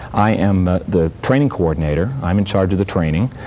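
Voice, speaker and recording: Noticeable background noise sits behind a man with a very deep, low voice. He speaks with an American accent at a fairly quick pace. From Virginia, US. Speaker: Coast Guard vessel traffic trainer, former service member. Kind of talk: TV interview.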